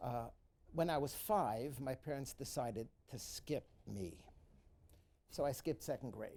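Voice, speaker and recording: In a New York accent, a man with a dark, mellow tone and medium pitch talks fairly slowly, pausing long and often. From New York City, the Bronx. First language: Yiddish. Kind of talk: personal account in a moderated talk. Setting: live event with student audience. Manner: halting, many fillers.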